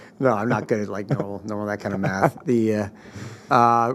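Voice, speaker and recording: Over noticeable background noise, a man talks at a very fast pace with a fairly low pitch. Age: 60s. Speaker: CrossFit masters athlete and venture capitalist. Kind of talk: casual chat. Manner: halting, many fillers.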